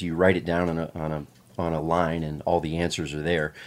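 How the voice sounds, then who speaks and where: On a very clean recording with a silent background, a man speaks at a moderate pace in a very deep, low pitch. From Pennsylvania. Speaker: retired navy veteran. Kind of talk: casual chat.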